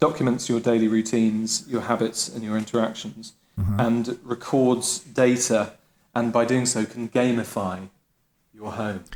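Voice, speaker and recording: Someone speaks in an unremarkable speaking voice at a fairly slow pace with fairly even intonation. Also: man. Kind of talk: comedic pitch in podcast.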